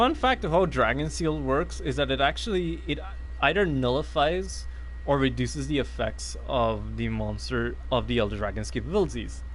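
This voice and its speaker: There is audible room echo. A man speaks at a moderate pace. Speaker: gaming streamer. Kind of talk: let's play commentary. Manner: halting, stuttering.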